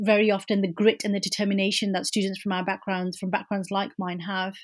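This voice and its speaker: A woman with a medium-pitched, somewhat breathy voice talks at a fairly quick pace in a flat monotone, on a very clean recording with a silent background. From Birmingham, England. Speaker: academic researcher. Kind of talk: interview.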